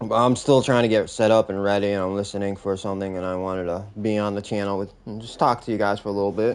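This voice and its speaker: Mumbling at a very fast pace with hardly any pauses, a man keeps a monotone, flat intonation at a fairly low pitch. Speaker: gamer streamer. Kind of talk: casual chat. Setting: live stream. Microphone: old mic, may sound muffled.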